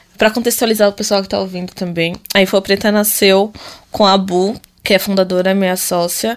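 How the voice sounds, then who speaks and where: This woman's delivery is fairly quick and monotone, with flat intonation at a medium pitch. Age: 20s. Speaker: tech company partner. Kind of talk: casual chat.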